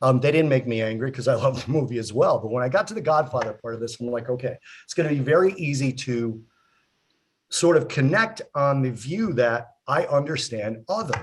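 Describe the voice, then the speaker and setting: A man speaks at a medium pitch, somewhat breathy. His intonation is lively. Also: fairly quick pace. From US, child of Italian immigrants. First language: Italian. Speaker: talk show co-host. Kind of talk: casual chat.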